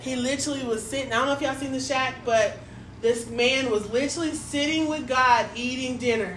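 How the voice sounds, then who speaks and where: A woman's high-pitched voice at a fairly quick pace, with audible room echo and noticeable background noise. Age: 30s. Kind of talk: casual faith conversation. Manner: animated, emphatic.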